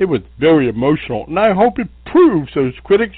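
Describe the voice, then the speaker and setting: The speaker moves through the words at a moderate pace. The voice is a put-on character voice. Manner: modest, hesitant, nervous.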